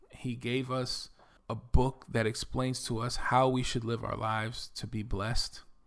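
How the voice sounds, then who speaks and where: This man has a New York accent. He speaks at a fairly slow pace. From Bronx, New York. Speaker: podcaster and digital marketing entrepreneur. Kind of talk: solo podcast monologue, personal introduction. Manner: confident, self-assured.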